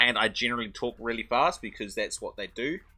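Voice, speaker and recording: Music can be heard behind the voice. A man speaks, his pitch swinging very widely. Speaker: game streamer. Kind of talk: live stream commentary. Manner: halting, many fillers and restarts.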